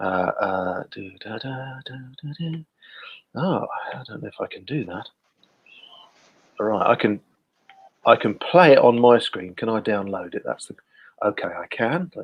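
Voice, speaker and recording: A man with a Guernsey accent speaks at a medium pitch and moderate pace, with lively intonation, big swings in loudness and long, frequent pauses. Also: dry, close sound with no echo. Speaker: community group host. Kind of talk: casual live stream chat. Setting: live video stream.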